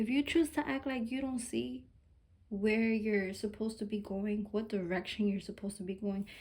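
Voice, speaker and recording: Her voice is fairly high-pitched and somewhat breathy. The woman keeps a moderate pace with lively intonation. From Mexican heritage. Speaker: tarot reader. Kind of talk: collective tarot reading. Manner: casual, informal with cursing; animated, emphatic.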